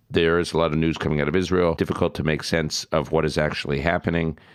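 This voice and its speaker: A man with an American accent speaks in a very deep, low voice with vocal fry. His intonation stays fairly even. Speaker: podcast host. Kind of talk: casual chat; interview.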